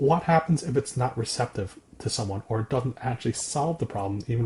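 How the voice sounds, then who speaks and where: A man speaks at a fairly quick pace and medium pitch. His voice is somewhat breathy. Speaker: podcast co-host discussing therapy skills. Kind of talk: casual conversation about personal experience. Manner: calm, measured tone; halting, with repetitions.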